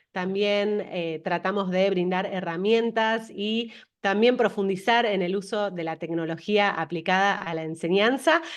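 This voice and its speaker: A woman speaks at a fairly slow pace with hardly any pauses. Her pitch is medium. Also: ordinary pitch variation. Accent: Rioplatense. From Argentina. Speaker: interview host. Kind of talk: interview.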